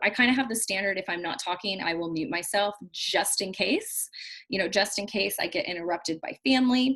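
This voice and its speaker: An American accent marks this woman's speech. She talks at a moderate speed. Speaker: business trainer. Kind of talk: tutorial. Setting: video call. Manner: loud. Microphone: laptop mic, no external speakers.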